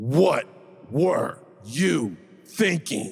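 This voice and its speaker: Putting on a character voice, a man growls at a fairly high pitch. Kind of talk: demo of a harsh voice on request. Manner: harsh, scolding.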